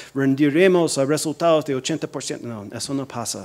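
Speaking at a fairly slow pace, a man uses a fairly high pitch with ordinary variation. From US, New Jersey. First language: English (speaking Spanish). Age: 40s. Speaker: policy analyst, think tank director; policy analyst. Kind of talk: lecture. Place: hall. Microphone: podium.

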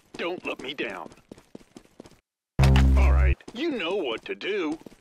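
A woman at a very slow pace, music in the background. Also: long, frequent pauses. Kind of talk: game announcer voice pack lines.

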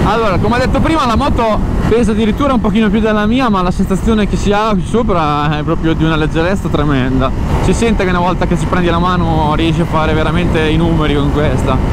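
A man speaks very fast against loud background noise, the sound dry and echo-free. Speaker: motorcycle vlogger test rider. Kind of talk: casual vlog chat. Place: motorbike. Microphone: helmet.

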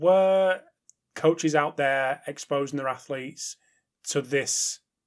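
With an English accent, the speaker talks at a moderate pace with fairly even intonation over a quiet background. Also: man. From England. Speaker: podcast host. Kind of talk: interview. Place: home room. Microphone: webcam.

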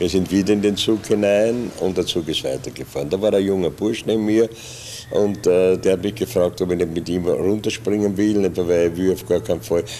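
Over light background noise, a man with a very deep, low pitch speaks at a moderate pace with fairly even intonation. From Vienna, Austria. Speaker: improv theatre actor, puppeteer. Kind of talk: oral history interview answer. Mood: calm reminiscing. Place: studio. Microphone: studio mic.

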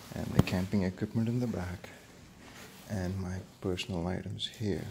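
Over noticeable background noise, a man with a very deep, low, somewhat breathy voice talks at a moderate pace with fairly even intonation. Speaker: motorcycle vlogger. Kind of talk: casual vlog chat. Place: garage. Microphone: phone near.

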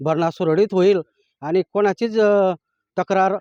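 A man speaks at a high pitch with a dark, mellow tone and fairly even intonation. The sound is dry and close with no echo, over a quiet background. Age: 60s. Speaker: farmer. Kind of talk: interview testimony.

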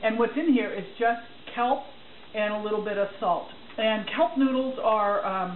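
A woman reads at a fairly slow pace with fairly even intonation, over light background noise and audible room echo. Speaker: cooking demonstrator. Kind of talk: tutorial. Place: kitchen. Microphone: camera far.

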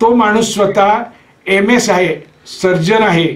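The man's intonation stays fairly even. He talks at a very slow pace. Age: 60s. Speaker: alternative therapy teacher. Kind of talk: course introduction talk. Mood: relaxed, laughing at times. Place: home room. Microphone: webcam.

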